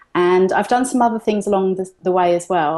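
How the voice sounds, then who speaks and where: Against a quiet background, a woman with a London accent and a dark, mellow tone speaks at a fairly quick pace. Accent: London British. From London, England. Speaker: entrepreneur, digital magazine publisher. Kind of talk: interview. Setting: video call. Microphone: delayed, freezing connection.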